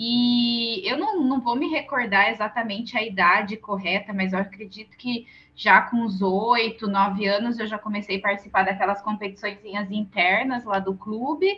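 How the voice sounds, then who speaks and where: Here is a woman with an unremarkable speaking voice and a fairly high pitch. She talks at a moderate pace with fairly even intonation. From Brazil, interior of São Paulo state (Santa Bárbara d'Oeste). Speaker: triathlete and nutritionist. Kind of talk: podcast interview.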